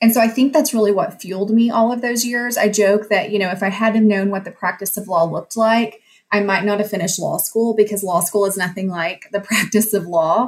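With a Texan accent, a woman talks at a fairly quick pace with hardly any pauses, her medium-pitched, somewhat breathy voice showing ordinary pitch variation in a very clean recording over a silent background. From West Texas. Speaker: judge. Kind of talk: interview.

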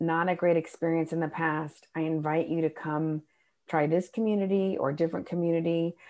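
With an American accent, a woman speaks at a moderate pace in a fairly low, dark, mellow voice, her intonation fairly even, over a quiet background. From Texas, Dallas and Austin. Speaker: stand-up comedian and motivational speaker. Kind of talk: casual interview chat.

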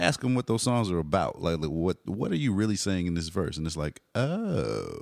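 Very wide pitch swings mark a man speaking with an American accent at a fairly quick pace, on a very clean recording with a silent background and a dry, close sound with no echo. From Texas, Garland (Dallas area). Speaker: hip hop artist and teacher. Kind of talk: casual interview.

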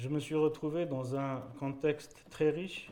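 A man's dark, mellow tone in a French accent, at a moderate pace with fairly even intonation. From Algeria. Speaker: painter. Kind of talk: panel talk via interpreter. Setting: conference stage with audience.

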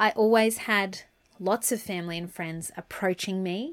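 A woman's medium-pitched voice in an Australian accent, at a moderate pace, on a very clean recording with a silent background. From Brisbane, Australia. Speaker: lawyer and podcast host. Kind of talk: casual monologue.

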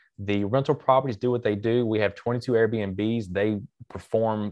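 A man with a Southern US accent, fairly low in pitch, flat and monotone at a fairly slow pace. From Mississippi, US South. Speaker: real estate investor and coach, military veteran. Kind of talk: interview.

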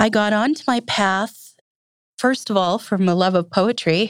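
An unremarkable speaking voice from a woman with an American accent, medium in pitch, with ordinary pitch variation and a moderate pace. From US Upper Midwest, Minnesota. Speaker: English professor. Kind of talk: interview.

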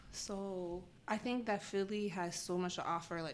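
A woman speaks in a normal speaking voice at a medium pitch. Her intonation stays fairly even. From Spokane, Washington, US. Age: 20s. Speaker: photographer and creative director. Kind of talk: casual interview.

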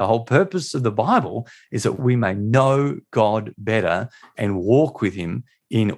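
Lively intonation carries this speaker's Australian accent on a very clean recording with a silent background. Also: man. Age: 40s. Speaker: pastor and author. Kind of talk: interview.

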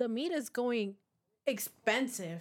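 A woman is speaking. Her voice sits high in pitch. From Mexico-born, raised in San Diego from age three. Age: 20s. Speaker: podcast co-host. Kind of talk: casual chat.

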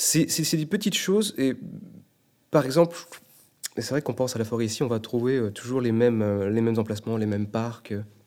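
Here a man speaks at medium pitch and moderate pace. His pitch variation is ordinary. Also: long, frequent pauses. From Brittany, France. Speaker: travel advisor. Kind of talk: interview.

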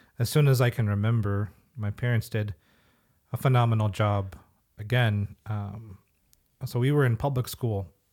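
Very clean recording with a silent background, a man at medium pitch and moderate pace with ordinary pitch variation. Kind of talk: casual faith discussion.

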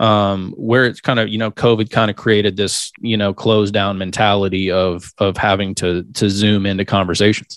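Here a man speaks at a moderate pace with a fairly low pitch. His intonation is monotone and flat, on a very clean recording with a silent background. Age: 40s. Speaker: sales consultant. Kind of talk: casual interview.

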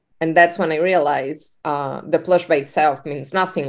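A woman with a Spanish accent, her pitch very deep and low, her intonation fairly even. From Uruguay. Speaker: entrepreneur. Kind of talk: interview.

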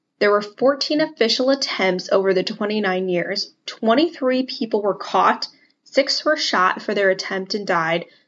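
A woman's normal speaking voice at a medium pitch, fairly slow in pace, with ordinary pitch variation. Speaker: podcast host. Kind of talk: casual history podcast chat, storytelling.

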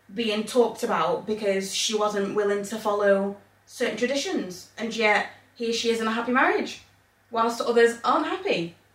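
A woman with a fairly high pitch and ordinary pitch variation speaks at a moderate pace amid noticeable background noise. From England. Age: 30s. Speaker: podcast co-host. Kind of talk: casual chat.

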